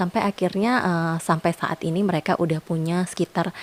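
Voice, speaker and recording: A woman with an Indonesian accent speaks at a fairly quick pace in a fairly low voice with fairly even intonation. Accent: Indonesian accent when reading French names. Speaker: perfume reviewer, YouTuber. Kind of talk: product review vlog. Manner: casual, many fillers and hesitations.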